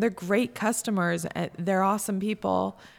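A woman's normal speaking voice at a medium pitch and moderate pace on a very clean recording with a silent background. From Central New York. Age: 30s. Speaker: hotel and restaurant owner. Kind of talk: casual chat. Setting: studio.

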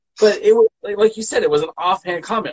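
A man speaks at a high pitch with very wide swings. The sound is dry and close, with no echo. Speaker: wrestling podcast host and journalist. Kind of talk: casual chat. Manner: voice rises in pitch when angry.

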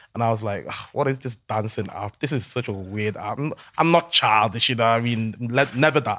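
Speaking in a Liverpool accent at a moderate pace, a man uses a medium pitch with ordinary pitch variation and a bright, sharp tone on a very clean recording with a silent background. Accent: Scouse. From Liverpool, England. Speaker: social media content creator. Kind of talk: casual chat. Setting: studio.

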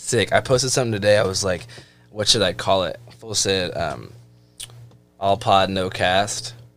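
With music in the background, a speaker with an American accent talks at a moderate pace, showing ordinary pitch variation and big swings in loudness. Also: man. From Seattle. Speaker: podcast host. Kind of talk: casual chat.

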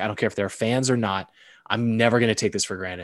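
In an ordinary speaking voice, a man with an American accent talks at medium pitch with fairly even intonation against a quiet background. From Massachusetts, outside Boston. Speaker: sports broadcaster. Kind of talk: casual chat.

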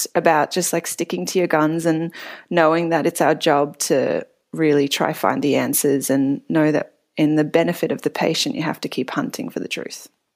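A woman with an Australian accent, fairly low in pitch with ordinary pitch variation, at a moderate pace on a very clean recording with a silent background. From Australia (Melbourne). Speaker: physiotherapist. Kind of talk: storytelling interview.

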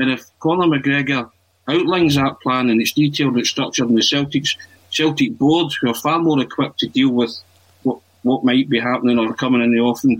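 Using a normal speaking voice, a man talks at a medium pitch and a fairly quick pace with fairly even intonation. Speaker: football podcast co-host. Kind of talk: casual football chat.

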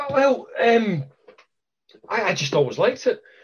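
A man with a Scottish accent, lively intonation and a moderate pace. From Scotland. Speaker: karate instructor. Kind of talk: casual chat.

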